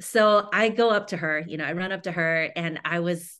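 With an American accent, a plain, everyday voice carries ordinary pitch variation against a quiet background. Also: woman. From Houston, Texas. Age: 40s. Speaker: runner and writer. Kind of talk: casual interview.

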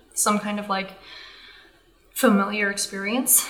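A soft-spoken woman talks over noticeable background noise, with audible echo from the room. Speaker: podcast host. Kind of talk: personal monologue. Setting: indoors with others asleep nearby. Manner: casual, hesitant with fillers.

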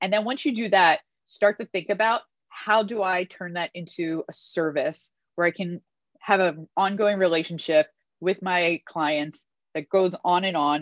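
A woman with an ordinary speaking voice, medium in pitch with ordinary variation, at a moderate pace, in a dry, close sound with no echo and a quiet background. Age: 40s. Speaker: book club host, accountant. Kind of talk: casual discussion on video call.

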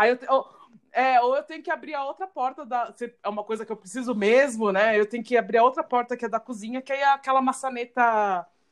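Speaking at a fairly quick pace, a high-pitched woman shows ordinary pitch variation and big swings in loudness. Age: 30s. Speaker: podcast host. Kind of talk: casual chat.

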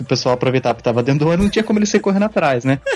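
Pitch swings very widely as a man speaks over noticeable background noise. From interior of São Paulo state, Brazil. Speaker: podcaster. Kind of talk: casual chat.

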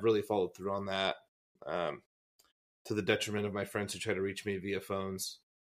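Fairly low in pitch, a man with an American accent speaks at a very fast pace. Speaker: podcast co-host, former youth pastor. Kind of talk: casual chat.

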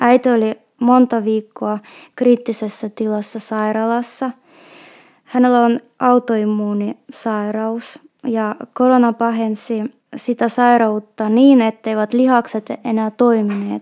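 With a Russian accent, a woman speaks very slowly in a fairly high pitch and a dark, mellow tone, her intonation monotone and flat, in a very clean, dry, close recording with no echo and a silent background. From Russia, Petrozavodsk. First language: Russian (speaking Finnish). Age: 30s. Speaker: shop assistant. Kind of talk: personal testimony. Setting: recorded on location in Lappeenranta.

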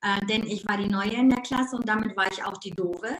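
Fairly quick, fairly high-pitched speech from a woman with ordinary pitch variation. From Ruhr area, Germany. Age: 50s. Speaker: life coach. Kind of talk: casual interview. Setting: live video stream. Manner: animated; fast.

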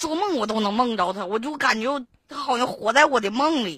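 With lively intonation and a bright, sharp tone, the voice moves at a fairly quick pace. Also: woman. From Liaoning, Benxi. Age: 20s. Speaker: caller. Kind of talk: casual chat.

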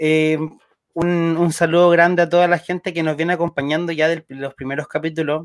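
At a moderate pace, the voice has a dry, close sound with no echo. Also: man. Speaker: podcast co-host. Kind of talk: casual chat. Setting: live-streamed show recorded together.

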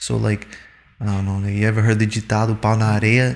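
A man talks at a moderate pace with a fairly low pitch. His voice is somewhat breathy. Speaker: podcast guest. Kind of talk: casual banter chat.

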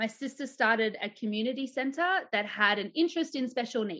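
Speaking at a moderate pace with an Australian accent, a woman uses a fairly high pitch and ordinary pitch variation. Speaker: embodied leadership coach and business owner. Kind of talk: casual interview chat.

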